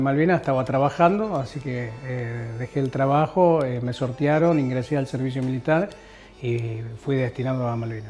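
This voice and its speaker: A man speaks at a medium pitch with a Rosario accent and ordinary pitch variation. He keeps a moderate pace over music in the background. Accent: Rioplatense Argentine Spanish (Rosario). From Argentina, Rosario (Santa Fe). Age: 50s. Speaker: war veteran. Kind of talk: testimony. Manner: halting, many fillers.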